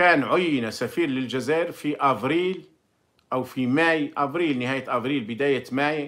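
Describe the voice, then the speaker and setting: Against a quiet background, a man speaks at a fairly slow pace. His pitch is fairly high, with ordinary variation. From Algeria. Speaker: former diplomat and commentator; commentator. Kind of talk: monologue commentary with personal recollection. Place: home room. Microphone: phone near.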